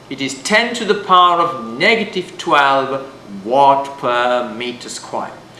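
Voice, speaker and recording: Amid noticeable background noise and audible room echo, a man speaks fairly slowly, his pitch swinging very widely. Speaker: physics teacher. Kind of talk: lecture. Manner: loud.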